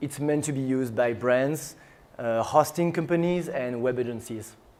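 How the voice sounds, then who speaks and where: With a strong French accent, a man speaks at a fairly slow pace with ordinary pitch variation. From France. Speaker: tech startup CEO. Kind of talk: conference talk.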